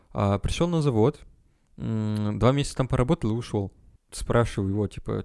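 A man with an ordinary speaking voice, fairly low in pitch with ordinary variation, at a moderate pace. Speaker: podcast co-host, student. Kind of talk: casual chat.

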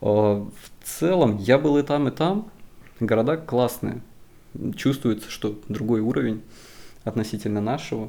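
A man with a medium pitch and a dark, mellow tone speaks at a fairly slow pace with ordinary pitch variation, taking long, frequent pauses. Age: 20s. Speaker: civil engineer. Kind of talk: casual chat.

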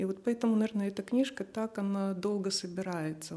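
A woman speaks at a moderate pace with fairly even intonation. Her tone is dark and mellow. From Moldova. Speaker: writer. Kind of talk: casual chat. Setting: studio.

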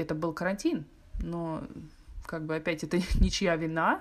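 In a very clean recording with a silent background, a woman talks at a moderate pace with a fairly low pitch. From Russia, Moscow and Chelyabinsk. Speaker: architect. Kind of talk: casual chat.

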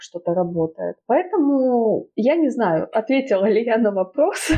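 A woman's ordinary speaking voice with lively intonation at a fairly slow pace. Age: 20s. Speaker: writer and photographer. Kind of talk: casual chat.

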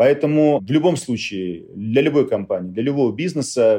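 Dark, mellow tone from a man, lively intonation, moderate pace, quiet background. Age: 40s. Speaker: company CEO. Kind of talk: interview.

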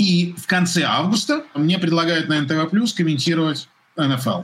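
This man speaks at a moderate pace. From Russia, Moscow. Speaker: sports commentator. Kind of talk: casual chat. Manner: animated.

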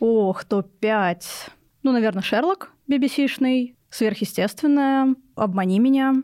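Very slowly and with ordinary pitch variation, a woman speaks in a high pitch and a dark, mellow tone, the sound dry and close with no echo on a very clean recording with a silent background. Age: 20s. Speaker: psychology student and mental health activist. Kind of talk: personal testimony in interview. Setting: studio.

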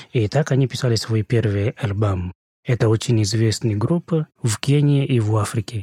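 A man speaks at a fairly low pitch and a moderate pace in a dark, mellow tone. His somewhat breathy voice has a dry, close sound with no echo. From Kenya, Nakuru. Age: 30s. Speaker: podcast guest from Kenya. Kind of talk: casual chat.

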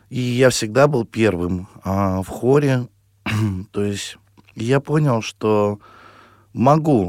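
A man at a medium pitch is heard in a dry, close sound with no echo. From Russia, Perm region. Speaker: singer. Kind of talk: radio interview. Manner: halting.

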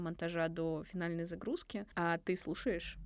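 An ordinary speaking voice at a fairly slow pace, on a very clean recording with a silent background. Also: woman. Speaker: podcast co-host, university student. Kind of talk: casual chat.

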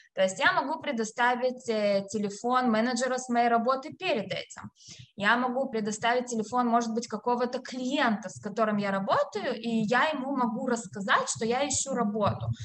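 With a high pitch, a woman talks using ordinary pitch variation. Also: moderate pace. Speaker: HR specialist and career consultant. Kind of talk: interview, career advice.

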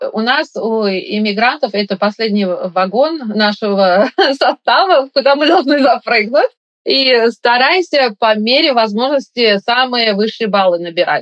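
A woman with an unremarkable speaking voice talks at a fairly slow pace and a fairly high pitch. Her intonation is lively and her loudness very even. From Uzbekistan, Tashkent. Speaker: operating room nurse. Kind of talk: interview.

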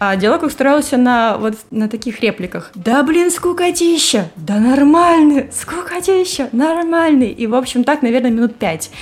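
A woman's high voice with very wide pitch swings, over noticeable background noise. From Russia, Saint Petersburg. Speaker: host's wife, guest. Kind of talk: casual chat.

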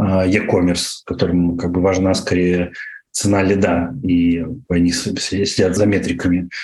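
A man's voice with audible room echo. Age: 30s. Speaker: internet entrepreneur. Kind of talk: interview. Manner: hesitant, many fillers.

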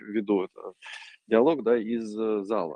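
A man speaks at a very slow pace in a medium pitch. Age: 30s. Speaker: parkour pioneer and gear manufacturer. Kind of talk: interview. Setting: remote call from a gym.

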